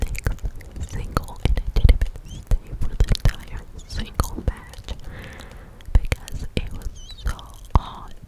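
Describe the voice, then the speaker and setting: Whispering at a fairly slow pace amid noticeable background noise. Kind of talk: casual personal anecdote. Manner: whispered.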